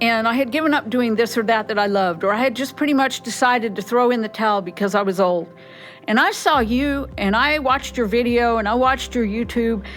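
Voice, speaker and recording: Music plays in the background as a woman talks at a fairly quick pace with a fairly high pitch, ordinary pitch variation and very even loudness. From New Mexico. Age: 60s. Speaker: music student. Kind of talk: interview.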